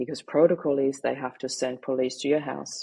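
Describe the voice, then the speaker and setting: With a German accent, a woman speaks at a fairly quick pace in a very deep, low, dark and mellow voice, using monotone, flat intonation and vocal fry. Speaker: grief mindset coach and author. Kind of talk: personal testimony in a podcast interview.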